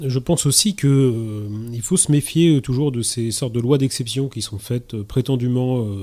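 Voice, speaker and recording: At a moderate pace, a man speaks in a medium pitch with ordinary pitch variation and a dark, mellow tone. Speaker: political activist. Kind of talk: radio debate. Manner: halting, repeats words.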